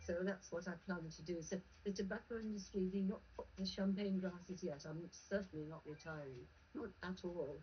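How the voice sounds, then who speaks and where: With noticeable background noise behind her, a woman of medium pitch talks at a moderate pace with ordinary pitch variation. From northern England. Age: 80s+. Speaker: tobacco control campaigner. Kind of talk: interview.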